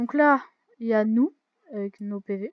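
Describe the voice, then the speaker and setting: Her pitch rises and falls in a normal way. The woman keeps a rather slow pace. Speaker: gaming youtuber. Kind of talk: let's play commentary. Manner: loud; hesitant, many fillers.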